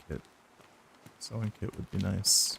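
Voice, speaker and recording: Recorded in dry, close sound with no echo, a man speaks with an American accent at a moderate pace. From US. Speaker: gaming streamer. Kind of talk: live gameplay stream chat. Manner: casual with many fillers and repetitions.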